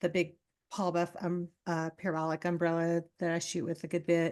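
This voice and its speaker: In an American accent, a woman talks at a moderate pace with a fairly low pitch. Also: quiet background. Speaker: boudoir photographer. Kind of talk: casual interview chat. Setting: podcast interview.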